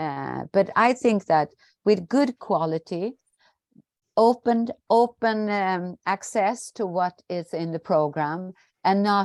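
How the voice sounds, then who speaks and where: A woman speaks at a medium pitch and a fairly slow pace, with ordinary pitch variation, in a dry, close sound with no echo. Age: 60s. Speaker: trade union representative. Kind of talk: Q&A answer at online seminar. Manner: halting.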